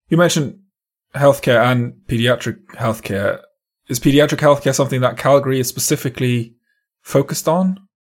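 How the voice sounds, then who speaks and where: Somewhat breathy, a man speaks at a fairly quick pace and a medium pitch, with big swings in loudness. The recording is very clean, the background silent. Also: ordinary pitch variation. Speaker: podcast host. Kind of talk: interview.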